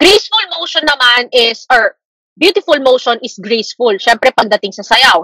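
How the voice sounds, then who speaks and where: The sound is dry and close, free of echo. The words come at a moderate pace. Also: woman. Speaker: teacher. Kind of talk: lecture. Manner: casual Taglish code-switching.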